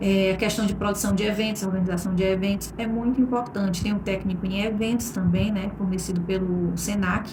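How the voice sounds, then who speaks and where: Through noticeable background noise and audible room echo, a woman speaks at medium pitch with fairly even intonation. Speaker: master of ceremonies. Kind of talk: recorded talk to a class.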